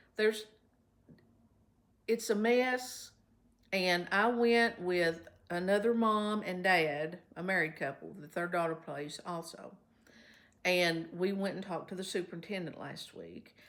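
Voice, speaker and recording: A woman at medium pitch, fairly slow and with long, frequent pauses, ordinary pitch variation and big swings in loudness. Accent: Kentucky. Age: 70s. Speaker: vlogger. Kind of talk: casual vlog talk to viewers. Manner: chatty, conversational.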